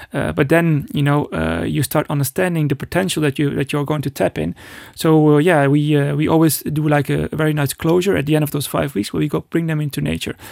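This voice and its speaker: A man speaks very fast at a fairly high pitch with fairly even intonation. The sound is dry and close with no echo, in a very clean recording with a silent background. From Netherlands. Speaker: breathing and cold exposure instructor. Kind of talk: casual chat. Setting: studio. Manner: halting.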